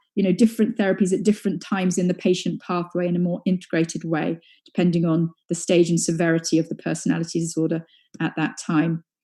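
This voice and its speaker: A dark, mellow tone comes through somewhat breathy, with a British accent. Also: woman. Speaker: psychoanalytic psychotherapist. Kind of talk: conference lecture. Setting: live webinar. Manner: halting, many fillers; fast.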